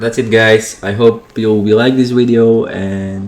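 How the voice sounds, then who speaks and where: A man with a non-native accent talks very slowly at a medium pitch in a monotone, flat intonation. Noticeable background noise runs under the recording. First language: not English. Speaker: motorbike YouTuber. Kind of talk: voiceover commentary. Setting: at home. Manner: halting.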